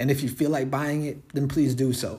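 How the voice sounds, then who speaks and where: A man at medium pitch, somewhat breathy, with monotone, flat intonation and a fairly quick pace. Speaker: rapper and podcast host. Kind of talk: casual solo monologue. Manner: quiet; relaxed with many fillers.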